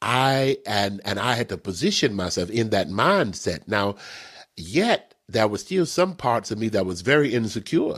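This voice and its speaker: Lively in intonation, a man with a medium-pitched voice speaks at a fairly slow pace. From Texas. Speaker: minister and prophet. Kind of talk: spiritual teaching interview. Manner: animated.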